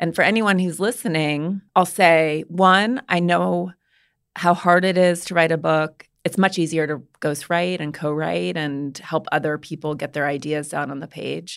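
An ordinary speaking voice from a woman with an American accent, fairly low in pitch, fairly slow, with ordinary pitch variation, on a very clean recording, silent background. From US, Montana. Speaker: author and podcast host. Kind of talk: interview.

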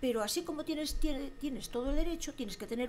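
A woman speaks fairly quickly in a high pitch with lively intonation. Noticeable background noise is present. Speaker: former local politician. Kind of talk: casual chat. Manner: halting.

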